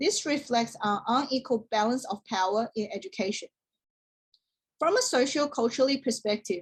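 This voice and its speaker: This woman has a Chinese accent and a high pitch. She talks at a moderate pace with lively intonation. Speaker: teacher-training student. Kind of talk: class presentation. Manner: formal.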